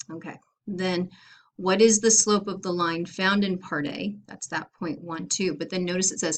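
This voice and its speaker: Here a woman with an unremarkable speaking voice talks at a moderate pace in a medium pitch, her intonation fairly even while her loudness swings widely. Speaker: math teacher. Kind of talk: lecture. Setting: recorded video lesson.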